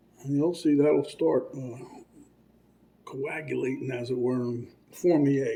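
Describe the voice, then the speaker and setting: Man at a fairly slow pace over noticeable background noise. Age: 60s. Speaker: cooking channel host. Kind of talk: cooking tutorial. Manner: casual, rambling with fillers.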